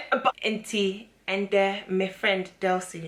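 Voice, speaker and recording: The speaker has a London accent. Noticeable background noise runs under the voice. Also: woman. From London, England, Ghanaian family. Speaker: beauty and lifestyle vlogger. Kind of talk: casual chat.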